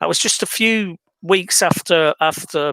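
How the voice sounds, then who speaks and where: A man with an English accent speaks in a fairly high, bright, sharp voice with lively intonation, recorded very cleanly with a silent background and a dry, close sound with no echo. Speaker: video blogger. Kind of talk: scripted monologue complaint. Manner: hesitant, many fillers.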